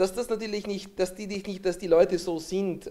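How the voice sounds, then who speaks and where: A man at a fairly quick pace, his tone dark and mellow. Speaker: political scientist; guest. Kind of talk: panel discussion. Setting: stage with audience. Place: hall. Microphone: handheld.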